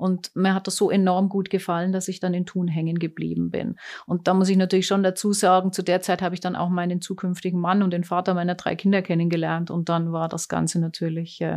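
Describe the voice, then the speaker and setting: This woman's fairly low voice stays monotone and flat at a moderate pace. The recording is very clean, with a silent background. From Germany. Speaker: oncologist. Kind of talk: interview. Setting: clinic.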